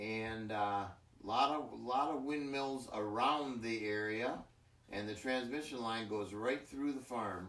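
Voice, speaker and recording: A man with a medium pitch speaks at a very slow pace with ordinary pitch variation. Audible room echo surrounds his voice. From Michigan, US Midwest. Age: 60s. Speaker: farmer. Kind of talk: interview. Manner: halting.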